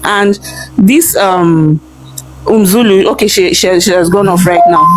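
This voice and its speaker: The speaker has a Nigerian accent and talks at a moderate pace with ordinary pitch variation. Noticeable background noise sits behind the voice. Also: woman. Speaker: live stream participant. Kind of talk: heated debate. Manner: animated.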